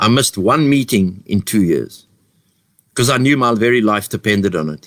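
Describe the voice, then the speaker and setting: Dry and close with no echo, a man's medium-pitched voice moves at a moderate pace with ordinary pitch variation. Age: 50s. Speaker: addiction recovery organization founder. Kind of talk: recovery testimony. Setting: live online share. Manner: loud; repetitive, halting.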